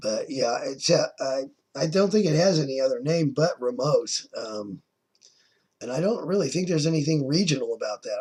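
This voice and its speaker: Fairly high-pitched and with an American accent, a man talks at a fairly quick pace with lively intonation. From California. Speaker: vlogger. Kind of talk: accent tag video, reading questions and answering casually. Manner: hesitant, many fillers.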